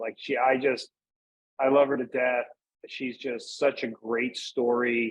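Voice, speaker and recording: The voice is a normal speaking voice with an American accent. It moves at a fairly slow pace. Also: man. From US Northeast, Pennsylvania. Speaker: cigar brand manager. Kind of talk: casual interview chat.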